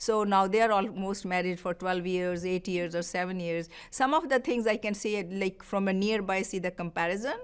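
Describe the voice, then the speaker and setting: A woman with a Punjabi Indian accent talks at a moderate pace and a medium pitch. She takes hardly any pauses. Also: ordinary pitch variation. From Punjab, India. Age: 60s. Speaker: homemaker. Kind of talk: oral history interview. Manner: halting.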